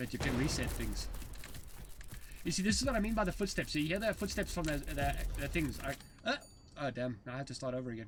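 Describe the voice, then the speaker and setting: A man's fairly high voice at a very fast pace, with very wide pitch swings, long and frequent pauses, and noticeable background noise. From South Africa. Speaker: game developer streamer. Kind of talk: casual live stream commentary. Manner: halting, many restarts; fast at times.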